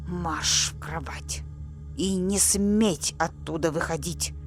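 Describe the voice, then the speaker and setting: A woman speaks at a fairly slow pace in a put-on character voice. Loud music plays behind her, and there is hissing. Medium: read story. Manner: harsh, commanding, often hissing.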